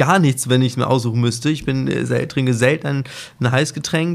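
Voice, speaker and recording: A plain, everyday voice belongs to this man, pitched in the middle range. His intonation is fairly even throughout. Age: 30s. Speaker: hotel director. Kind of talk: casual interview. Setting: outdoors on hotel suite balcony.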